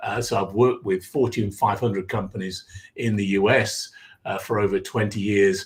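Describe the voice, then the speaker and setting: A man with an English accent, fairly low-pitched and somewhat breathy, monotone and flat, at a moderate pace. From England, Derbyshire (East Midlands). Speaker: executive coach. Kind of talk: podcast interview.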